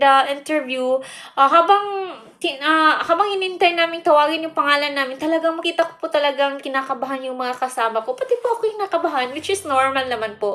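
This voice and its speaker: A woman speaks with a high pitch and lively intonation. Her tone is bright and sharp. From Philippines, Bukidnon, Mindanao. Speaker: vlogger. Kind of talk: casual vlog talk. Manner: halting, with fillers.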